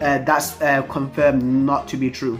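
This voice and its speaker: Fairly slow speech with music in the background. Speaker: anime manga reviewer. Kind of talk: casual talk to camera. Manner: stuttering, many fillers.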